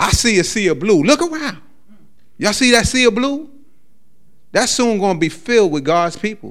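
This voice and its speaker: Speaking at a moderate pace, a man with a high voice makes very wide pitch swings and leaves long, frequent pauses. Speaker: lay preacher. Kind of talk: sermon. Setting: church with congregation. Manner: stammering repetitions.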